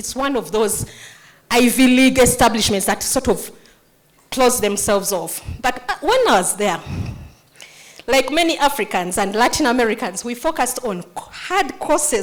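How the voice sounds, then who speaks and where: A woman's high voice in a Ugandan accent, at a moderate pace with very wide pitch swings. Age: 50s. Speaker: nonprofit founder. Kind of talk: motivational speech. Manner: animated.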